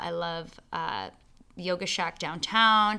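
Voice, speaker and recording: Bright and sharp in tone, a woman with a Canadian accent speaks in a monotone, flat way at a fairly slow pace on a very clean recording with a silent background. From Canada, Ontario (London). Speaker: fitness studio owner. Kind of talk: casual interview.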